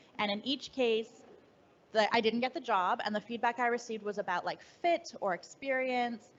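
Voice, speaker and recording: A woman with fairly high pitch, moderate pace and ordinary pitch variation. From Canada. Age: 30s. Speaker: writer and editor. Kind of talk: fireside chat interview. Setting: live event with audience.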